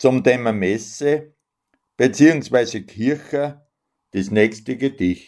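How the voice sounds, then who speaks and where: Speaking at a very slow pace with long, frequent pauses, a man uses a medium pitch and ordinary pitch variation in a very clean recording with a silent background. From Upper Austria, near Linz. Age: 60s. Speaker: dialect poet and retired civil servant. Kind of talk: radio show with poetry reading.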